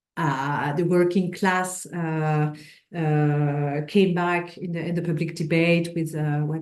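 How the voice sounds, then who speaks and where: A woman talks fairly slowly in a French accent, her pitch fairly low and its variation ordinary. Her tone is dark and mellow, with audible echo from the room. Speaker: sociohistorian. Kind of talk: lecture. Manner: halting.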